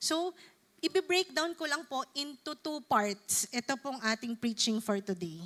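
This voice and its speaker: This woman speaks at a very slow pace in a high pitch. Her tone is bright and sharp, with very wide pitch swings. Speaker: preacher. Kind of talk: sermon.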